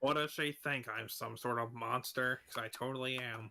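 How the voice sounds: Reading delivered in a natural voice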